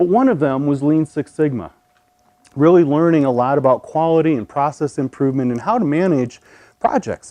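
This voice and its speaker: At a fairly quick pace, a man with a Midwestern accent talks in a fairly high pitch, the sound dry and close with no echo. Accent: Midwest. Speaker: storyteller, pharmacist. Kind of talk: storytelling performance.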